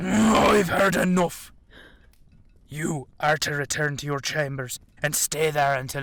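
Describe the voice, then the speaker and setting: A man speaks in a put-on character voice, pitched fairly high. He goes at a fairly slow pace, with long, frequent pauses. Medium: audio drama. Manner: commanding, stern.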